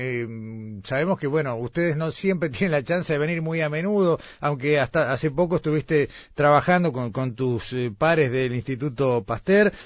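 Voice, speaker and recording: Here is a man with an ordinary speaking voice at a fairly high pitch. His intonation is lively and his pace moderate. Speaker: radio host. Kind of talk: radio interview. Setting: remote broadcast from Florida.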